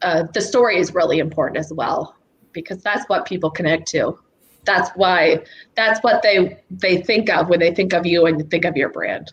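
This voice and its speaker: Somewhat breathy, a woman speaks with a fairly low pitch and ordinary pitch variation. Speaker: startup founder, pitch winner. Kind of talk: panel discussion. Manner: fast.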